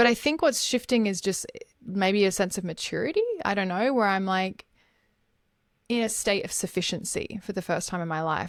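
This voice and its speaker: A woman with an Australian accent talks at a very fast pace. The recording is very clean, and the background is silent. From Australia, Gold Coast. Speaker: life coach. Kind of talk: podcast interview.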